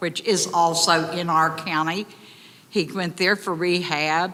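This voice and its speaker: This woman has an Appalachian accent and a bright, sharp tone. Her pitch is fairly low and her pace very slow. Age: 70s. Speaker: resident speaking at public comment. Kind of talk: public comment at county meeting. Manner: emotional.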